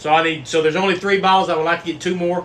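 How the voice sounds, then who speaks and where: A man speaks with a Texan accent at a fairly high pitch. Background noise is noticeable. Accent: Texan US Southern. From Texas. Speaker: bourbon livestream host. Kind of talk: casual livestream chat. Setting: live stream. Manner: animated.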